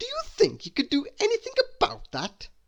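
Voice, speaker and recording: A man puts on a squeaky character voice, pitched extremely high and delivered at a fairly quick pace. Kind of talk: bedtime story. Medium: read story.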